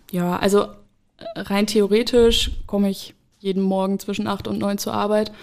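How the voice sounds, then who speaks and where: This woman talks at a moderate pace. Her medium-pitched voice is monotone and flat. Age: 20s. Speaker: social worker, addiction counselor. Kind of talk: interview.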